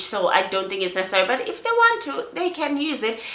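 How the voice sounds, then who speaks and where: A woman is speaking. Audible room echo is present. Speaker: skincare vlogger. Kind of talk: product review vlog. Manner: repetitive false starts.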